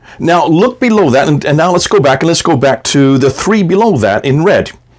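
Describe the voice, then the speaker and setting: Over noticeable background noise, a man with a fairly high pitch talks at a fairly quick pace, his pitch swinging very widely while his loudness stays very even. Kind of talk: video lecture with slides. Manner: conversational, some stammering.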